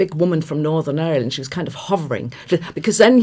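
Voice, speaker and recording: With a slight Irish accent, a woman speaks at a very fast pace. Her tone is dark and mellow. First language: German. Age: 50s. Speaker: radio journalist. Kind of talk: casual chat. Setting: live radio studio with webcams.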